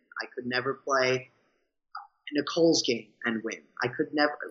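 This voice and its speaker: With a strong New York accent, a man speaks at a moderate pace. His pitch is fairly high. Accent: thick New York. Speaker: reality show contestant and Broadway performer. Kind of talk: interview. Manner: energetic, rambunctious. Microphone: cutting out a little.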